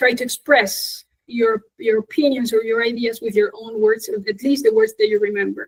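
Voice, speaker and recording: Speaking in a Spanish accent, a woman with a fairly high pitch keeps a moderate pace and fairly even intonation with hardly any pauses, the sound dry and close with no echo. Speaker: English teacher, conference speaker. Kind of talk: Q&A after a conference talk.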